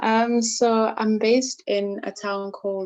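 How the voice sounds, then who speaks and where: A woman is speaking. Her pace is very slow. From South Africa. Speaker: IT worker and poet. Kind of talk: casual chat.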